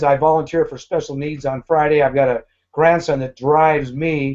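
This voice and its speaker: A man's plain, everyday voice, pitched fairly high, moderately paced, with ordinary pitch variation. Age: 60s. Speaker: network marketing distributor. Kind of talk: live video hangout, business presentation. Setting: online video hangout.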